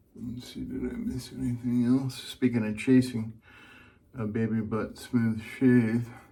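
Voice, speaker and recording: The man's voice is quiet, with a relaxed tone. He speaks at a fairly slow pace. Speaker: wet shaving video creator. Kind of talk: casual shave tutorial.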